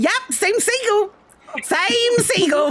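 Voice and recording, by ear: Very wide pitch swings mark this put-on character voice, pitched extremely high.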